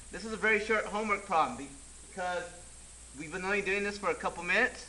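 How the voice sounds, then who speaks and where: A man's high-pitched, raised and projected voice at a very fast pace, with big swings in loudness over noticeable background noise. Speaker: teacher. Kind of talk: tutorial. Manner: animated.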